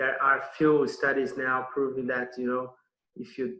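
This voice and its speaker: A man speaks with a Brazilian accent. His pitch sits in the medium range. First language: Portuguese. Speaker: nutrition consultant. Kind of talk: online summit presentation. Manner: hesitant, many fillers and repetitions.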